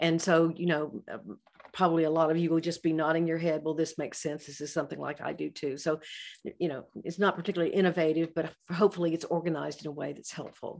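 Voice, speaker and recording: A woman talks very fast with vocal fry. Her pitch is fairly low and her intonation flat and monotone. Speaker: psychologist and author. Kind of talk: professional webinar lecture.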